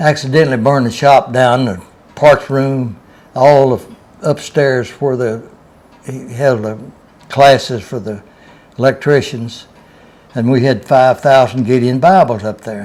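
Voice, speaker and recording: With a Southern US accent, a man talks at a medium pitch and a fairly slow pace, his intonation fairly even, his loudness swinging widely and his pauses long and frequent. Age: 80s+. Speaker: retired railroad worker. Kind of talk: storytelling.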